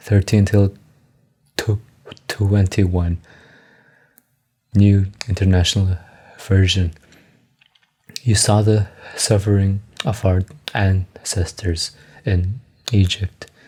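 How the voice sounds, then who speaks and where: A man speaks at a very slow pace, with long, frequent pauses and a fairly low pitch. His intonation is monotone and flat, and his loudness stays very even. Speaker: amateur reader sharing stutter practice. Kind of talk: casual chat; reading aloud. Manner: halting.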